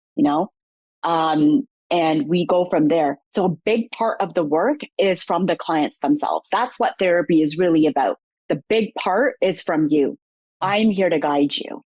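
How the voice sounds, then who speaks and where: Lively intonation and very even loudness come through at a fairly slow pace, in a dry, close sound with no echo. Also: woman, fairly low pitch for a woman. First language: Punjabi. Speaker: psychotherapist. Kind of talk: interview.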